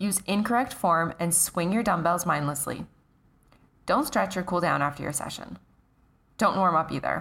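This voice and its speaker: The speaker has vocal fry and a moderate pace. Long, frequent pauses break up the speech. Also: woman, fairly low pitch for a woman, ordinary pitch variation, very clean recording, silent background. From Canada. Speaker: fitness coach and podcast host. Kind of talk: solo podcast monologue.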